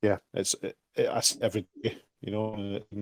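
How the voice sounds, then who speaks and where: Here a man talks with a Scottish accent at a fairly low pitch. His tone is dark and mellow, and his pace is moderate. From Scotland. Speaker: crypto project team member. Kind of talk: casual chat.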